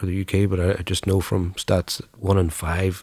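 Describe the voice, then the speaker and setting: A man's very deep, low voice with a dark, mellow tone and a Northern Irish accent, in a very clean recording with a silent background. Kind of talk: casual conversation, interviewer.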